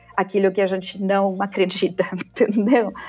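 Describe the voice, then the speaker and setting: With an Argentine accent, a woman speaks at a fairly slow pace against noticeable background noise. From Argentina. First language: Spanish (speaking Portuguese). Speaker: brand management expert. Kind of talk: interview. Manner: halting.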